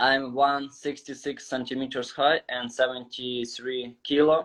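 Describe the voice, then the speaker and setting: Speaking at a fairly slow pace in a Ukrainian accent, a man uses a medium pitch and monotone, flat intonation. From Ukraine. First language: Ukrainian or Russian. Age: 20s. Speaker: calisthenics athlete. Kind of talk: casual interview. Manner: halting, non-fluent.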